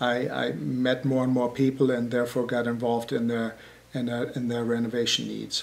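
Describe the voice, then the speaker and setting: With a German accent, a man talks at a moderate pace and medium pitch in a monotone, flat intonation. Noticeable background noise runs underneath. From Germany. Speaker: building contractor. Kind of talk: interview. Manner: halting.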